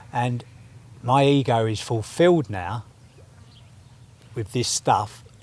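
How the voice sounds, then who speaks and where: This man's voice is medium in pitch and somewhat breathy, with ordinary pitch variation. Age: 60s. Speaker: percussionist and party promoter. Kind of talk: podcast interview. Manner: animated.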